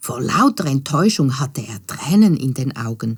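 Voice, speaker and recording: Somewhat breathy and at a fairly slow pace, a woman speaks with very wide pitch swings. The recording is very clean, and the background is silent. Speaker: storyteller. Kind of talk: children's fairy tale narration.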